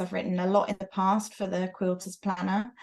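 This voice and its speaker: A woman speaks with a British accent. The background is quiet. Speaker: quilter and author. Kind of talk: casual chat. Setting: video call from her sewing studio.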